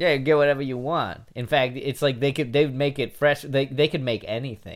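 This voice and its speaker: At a moderate pace, a man talks with an unremarkable speaking voice, medium pitch and ordinary pitch variation. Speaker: podcast co-host. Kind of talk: casual comedic banter podcast.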